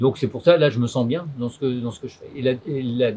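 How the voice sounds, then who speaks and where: A somewhat breathy quality colors the voice. It belongs to a man. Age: 70s. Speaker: farmer. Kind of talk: interview. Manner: hesitant, many fillers.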